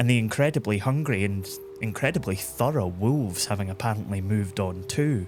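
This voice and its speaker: With music in the background, a man with a Scottish accent talks at a fairly quick pace in a fairly low pitch. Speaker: podcast host and narrator. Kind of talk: history storytelling narration.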